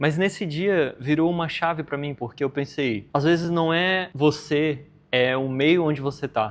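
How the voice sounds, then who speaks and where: A man speaks at a moderate pace in a fairly high pitch with ordinary pitch variation, in an ordinary speaking voice. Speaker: podcast host. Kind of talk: interview.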